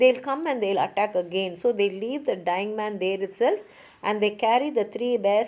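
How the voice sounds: Ordinary pitch variation in a natural reading voice.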